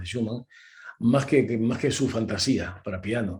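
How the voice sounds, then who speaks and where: A man talks at an average tempo in a dark, mellow tone with a somewhat breathy quality. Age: 70s. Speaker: concert pianist and accompanist. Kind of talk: interview. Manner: animated.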